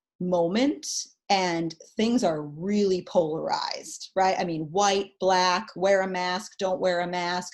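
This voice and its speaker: With an American accent, a woman uses a normal speaking voice at a medium pitch and a fairly slow pace. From New York. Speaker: therapist. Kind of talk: webinar answer to participant. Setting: video call.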